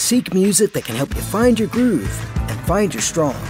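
Music plays behind a man whose high voice swings very widely in pitch as he speaks at a fairly slow pace. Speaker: voice actor. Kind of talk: TV commercial read.

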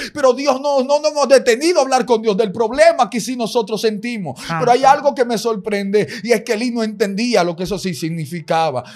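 A man with an extremely high voice and lively intonation, speaking at a fairly quick pace with hardly any pauses. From Dominican Republic, Santiago; Dominican Republic. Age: 20s. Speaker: evangelist preacher. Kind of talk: sermon. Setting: studio. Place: studio. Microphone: studio mic.

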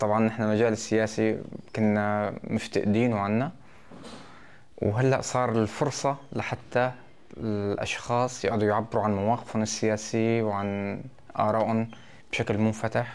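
Fairly low in pitch, a man speaks at a fairly slow pace. His intonation is monotone and flat, with very even loudness. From Syria, Idlib province (Maarat al-Numan); Idlib province, Syria. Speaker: local election candidate; election candidate. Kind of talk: interview statement. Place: office. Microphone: lapel.

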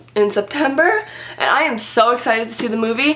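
With ordinary pitch variation, a woman talks in a high pitch. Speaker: beauty vlogger. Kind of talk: casual vlog chat. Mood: playful, slightly awkward. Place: home room. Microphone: camera far.

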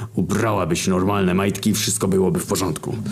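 A man growls in a put-on character voice, fairly low in pitch, racing at a very fast pace over noticeable background noise. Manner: growling through clenched teeth.

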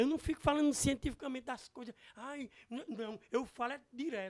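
A man's pitch varies in an ordinary way, and the background is quiet. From Serra do Araripe, northeastern Brazil; Northeast Brazil. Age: 50s. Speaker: businessman; interview guest. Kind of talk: interview. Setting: studio. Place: studio. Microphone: handheld.

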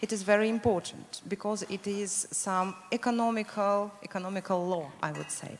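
Over light background noise, a woman with a Russian accent talks at a fairly slow pace with ordinary pitch variation. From Russia, Moscow. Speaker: education program manager; panelist. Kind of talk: panel discussion. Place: hall. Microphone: handheld.

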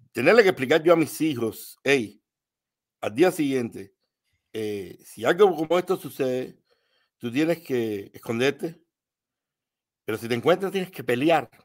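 Against a quiet background, a fairly high-pitched man speaks fairly slowly with lively intonation, big swings in loudness and long, frequent pauses. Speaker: live stream call-in participant; remote guest commentator. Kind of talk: casual political discussion. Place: home room.

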